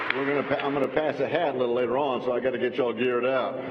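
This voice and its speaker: A man with a Texan accent, amid noticeable background noise and audible room echo. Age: 60s. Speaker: politician. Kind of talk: speech. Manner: animated.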